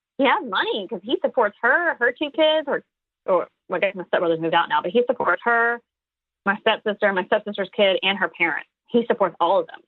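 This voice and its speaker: Loud and fairly quick, a woman with an American accent speaks at a fairly high pitch, her voice swinging very widely in pitch. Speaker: comedian. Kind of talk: interview. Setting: podcast. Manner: fast.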